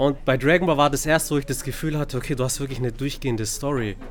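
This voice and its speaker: A man speaks at a medium pitch. Room echo is audible. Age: 30s. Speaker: podcast host. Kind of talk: casual chat. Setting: bookstore.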